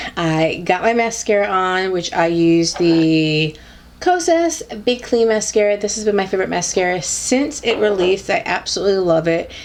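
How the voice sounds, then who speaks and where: Behind a woman's medium-pitched speech, there is noticeable background noise. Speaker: beauty YouTuber. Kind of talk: casual talk to camera. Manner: upbeat.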